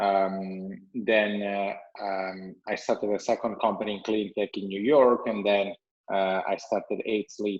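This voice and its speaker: This man's fairly low voice stays monotone and flat. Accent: Italian. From Italy. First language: Italian. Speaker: entrepreneur, company CEO. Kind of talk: podcast interview.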